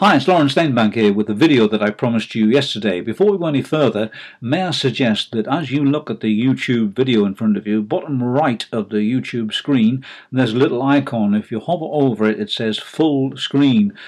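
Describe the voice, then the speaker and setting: With a northern English accent, a man talks at a fairly quick pace with hardly any pauses. His pitch is medium with ordinary variation, and the background is quiet. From northern England. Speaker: online marketer. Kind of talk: video presentation. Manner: hesitant, many fillers.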